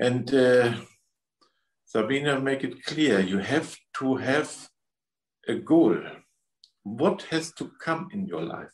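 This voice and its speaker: A man with a German accent speaks at a very slow pace with vocal fry, leaving long, frequent pauses. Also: medium pitch for a man. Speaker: spiritual healer. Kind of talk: guided energy healing session. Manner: halting.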